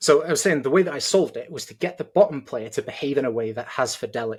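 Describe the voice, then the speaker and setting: A man with a British accent speaks at a very fast pace, somewhat breathy and with a fairly high pitch. His intonation is lively, with big swings in loudness. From Britain. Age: 30s. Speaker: judo coach. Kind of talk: heated debate.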